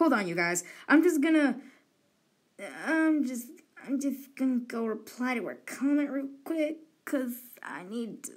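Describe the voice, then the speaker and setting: With a high pitch and lively intonation, a woman speaks at a fairly slow pace, leaving long, frequent pauses as her loudness swings widely. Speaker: live streamer drawing digital art. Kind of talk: casual live stream chat while sketching. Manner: rambling, halting with self-corrections.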